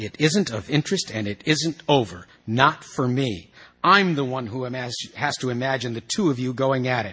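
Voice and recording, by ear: With ordinary pitch variation, a passage is read aloud in a natural voice.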